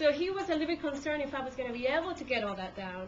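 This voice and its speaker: A woman talks at a fairly quick pace with a Spanish accent, with audible room echo and noticeable background noise. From Peru. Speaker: court reporter. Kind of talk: talk to a class. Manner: hesitant, many fillers.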